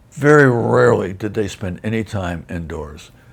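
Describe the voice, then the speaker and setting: With vocal fry and an American accent, a man speaks at a fairly low pitch that swings very widely. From USA. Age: 80s+. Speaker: war veteran. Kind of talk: casual chat.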